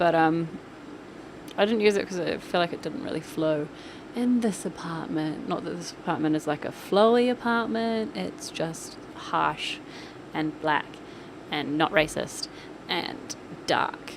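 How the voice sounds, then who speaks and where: Talking at a fairly slow pace with long, frequent pauses, a woman uses a fairly low pitch with very wide pitch swings over noticeable background noise. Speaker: gaming YouTuber narrating a build. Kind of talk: casual voice-over commentary. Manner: animated.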